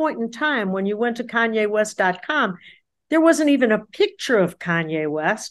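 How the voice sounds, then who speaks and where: Against a quiet background, a woman speaks in an animated tone at a moderate pace with very wide pitch swings. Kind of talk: casual interview chat. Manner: animated, excitable.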